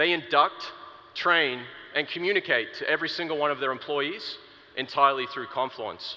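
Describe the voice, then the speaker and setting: Ordinary pitch variation runs through a man's speech at a moderate pace. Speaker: product marketer. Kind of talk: conference keynote talk. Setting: stage with audience. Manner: animated.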